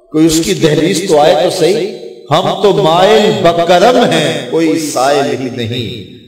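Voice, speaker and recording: Lively intonation marks this man's voice, with a fairly high pitch. There is noticeable background noise. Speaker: Islamic preacher giving a religious lecture. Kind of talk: religious sermon telling a devotional story.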